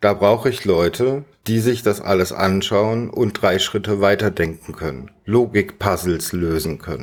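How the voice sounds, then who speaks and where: In a plain, everyday voice, a man of fairly low pitch speaks at a fairly slow pace with ordinary pitch variation and hardly any pauses, on a very clean recording with a silent background. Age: 40s. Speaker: podcast host and streamer. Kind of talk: casual chat.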